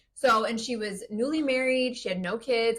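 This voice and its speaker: Animated and high-pitched, a woman speaks with a Midwestern accent. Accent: Midwest. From Minnesota. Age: 30s. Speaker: podcast host. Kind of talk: casual chat.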